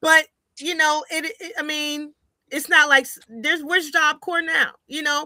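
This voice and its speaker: A woman's raised, projected voice with an American accent, high-pitched, bright and sharp, fairly slow and fairly even in intonation, with big swings in loudness. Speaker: sports podcast host and broadcaster. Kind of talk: casual chat.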